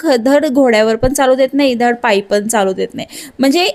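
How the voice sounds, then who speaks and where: Her tone is animated and her pitch is high. The woman's pitch variation is ordinary. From grew up moving around India, born in Madhya Pradesh. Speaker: vlogger. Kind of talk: vlog monologue.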